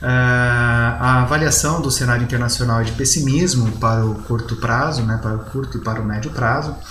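A medium-pitched man with a Brazilian accent, moderate pace, hardly any pauses and fairly even intonation, amid audible room echo and noticeable background noise. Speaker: economics professor and trader. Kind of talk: market commentary. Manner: frequent fillers and hesitations.

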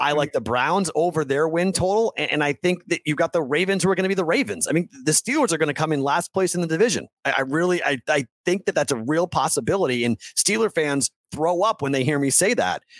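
On a very clean recording with a silent background, a man talks very fast at a fairly high pitch. His intonation is lively and his loudness very even. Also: hardly any pauses, dry, close sound with no echo. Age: 40s. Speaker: sports betting podcast host. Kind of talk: casual interview chat.

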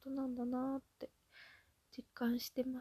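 Relaxed in tone, a woman with a high pitch and a dark, mellow tone speaks at a moderate pace in a dry, close sound with no echo. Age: 30s. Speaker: solo podcaster. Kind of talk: casual monologue. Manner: relaxed, frequent filler うん.

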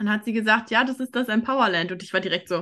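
Against a quiet background, a woman of medium pitch speaks with ordinary pitch variation. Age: 20s. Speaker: podcast host and life coach. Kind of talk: casual interview chat. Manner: animated.

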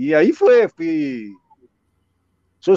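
There is no echo at all around this man's voice, which sounds dry and close. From Uruguay. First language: Spanish (speaking Portuguese). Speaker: former footballer. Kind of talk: casual interview.

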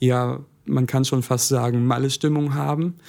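This is an ordinary speaking voice. The man talks at a medium pitch and a moderate pace. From Essen, Ruhr area, Germany. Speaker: carnival club president, student. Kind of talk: casual interview.

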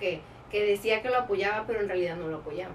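Ordinary pitch variation runs through this voice. A woman is the speaker. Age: 30s. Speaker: entrepreneur. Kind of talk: interview.

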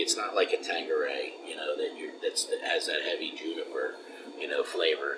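A man speaks with an American accent at a moderate pace. Noticeable background noise is present. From Philadelphia. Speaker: craft distillery co-owner. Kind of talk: casual interview. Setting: at a distillery.

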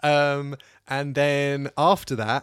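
Recorded very cleanly against a silent background in dry, close sound with no echo, a man with a British accent speaks at a fairly high pitch. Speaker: podcast co-host. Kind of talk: casual chat.

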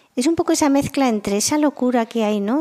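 A woman with a dark, mellow tone and a fairly high pitch speaks at a moderate pace, the sound dry and close with no echo. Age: 50s. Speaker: marketing analytics executive. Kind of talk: interview.

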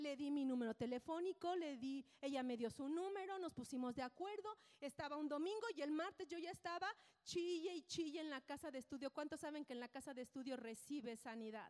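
Animated in tone, a woman speaks at a fairly quick pace in a high pitch with lively intonation. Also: dry, close sound with no echo. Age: 50s. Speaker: preacher. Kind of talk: sermon.

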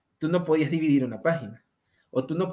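A man speaks at a fairly high pitch with a dark, mellow tone. His pace is fairly quick, with ordinary pitch variation. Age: 20s. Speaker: podcast host. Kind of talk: casual monologue.

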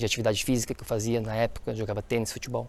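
This man's voice has a dark, mellow tone. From Florianópolis, Santa Catarina, southern Brazil. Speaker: health coach, podcast host. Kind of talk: solo podcast monologue, personal story. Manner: animated, enthusiastic.

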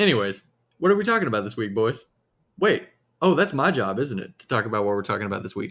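In a Southern US accent, a man talks very fast at a medium pitch. His pitch swings very widely and his loudness swings a lot. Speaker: podcast host. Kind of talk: casual chat.

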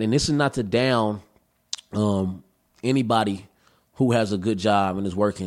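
A man uses an ordinary speaking voice, medium in pitch with ordinary pitch variation. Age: 20s. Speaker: rapper and activist. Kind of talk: casual chat. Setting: studio.

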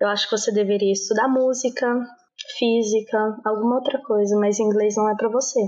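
Speaking in an ordinary speaking voice with fairly high pitch, a woman keeps a moderate pace and ordinary pitch variation, her loudness swinging widely. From Brazil, Brasília. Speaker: language teacher. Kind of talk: casual interview.

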